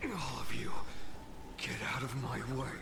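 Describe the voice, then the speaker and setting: Whispering in a put-on character voice, a man is heard over loud background noise. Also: moderate pace. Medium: game stream. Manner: urgent.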